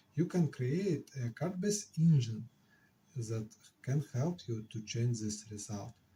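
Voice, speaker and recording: A man with an Eastern European accent speaks at a very slow pace in a medium pitch. His tone is dark, mellow and somewhat breathy. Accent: Slavic. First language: not English. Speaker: software engineer and board game designer. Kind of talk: casual devlog talk to camera.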